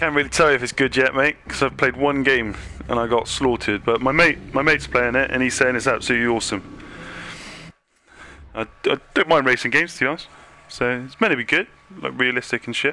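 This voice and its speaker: Over noticeable background noise, a man with a strong British accent and a medium pitch talks at a very fast pace, with long, frequent pauses. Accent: strong British accent (own remark). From UK. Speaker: gaming streamer. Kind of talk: casual gameplay chat. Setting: live stream with game chat. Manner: animated, repetitive.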